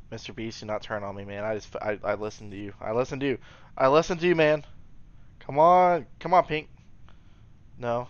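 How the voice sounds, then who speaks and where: A man talks at a moderate pace with lively intonation and an animated tone. His speech has long, frequent pauses and big swings in loudness. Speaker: gaming commentator. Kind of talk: gameplay commentary. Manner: occasional mispronunciations. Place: home room.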